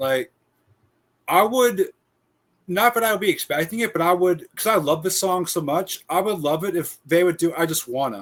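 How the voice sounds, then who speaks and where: A man's high-pitched voice at a moderate pace. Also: ordinary pitch variation. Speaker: podcast host. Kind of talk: casual chat.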